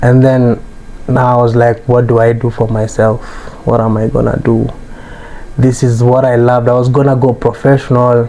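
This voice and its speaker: Over noticeable background noise, a man at medium pitch speaks at a moderate pace in a flat monotone, keeping his loudness very even and leaving long, frequent pauses. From Kenya, Nanyuki. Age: 20s. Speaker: fashion designer and entrepreneur. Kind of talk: interview conversation. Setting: design studio.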